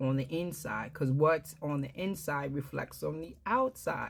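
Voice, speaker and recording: In a New York accent, a woman speaks with a very deep, low pitch on a very clean recording with a silent background. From Brooklyn, New York. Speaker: herbalist and wellness business owner. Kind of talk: product explainer talk. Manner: frequent fillers (um).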